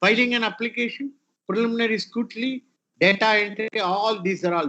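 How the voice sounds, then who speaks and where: A man with an Indian accent talks at a fairly quick pace in a high pitch with ordinary pitch variation. His loudness swings widely. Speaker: retired IP official, guest speaker. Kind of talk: lecture.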